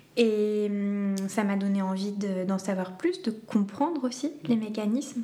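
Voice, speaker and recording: A woman speaks at a very slow pace with hardly any pauses, over noticeable background noise. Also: medium pitch for a woman, ordinary pitch variation. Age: 20s. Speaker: doula and foot reflexologist. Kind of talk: interview conversation. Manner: hesitant, many fillers.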